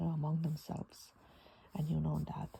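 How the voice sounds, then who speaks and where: Fairly slow delivery with a non-native accent. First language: not English. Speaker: Bible journaling teacher. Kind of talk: bible study talk. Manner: hesitant, with many fillers.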